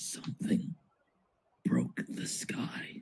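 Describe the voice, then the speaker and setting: Someone whispers in a put-on character voice. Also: man. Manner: whispering.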